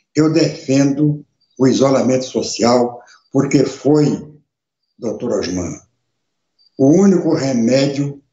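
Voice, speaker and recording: A man with a medium-pitched voice speaks very slowly. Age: 70s. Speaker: radio and internet show host, former politician. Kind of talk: live webcast monologue. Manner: emphatic, repetitive.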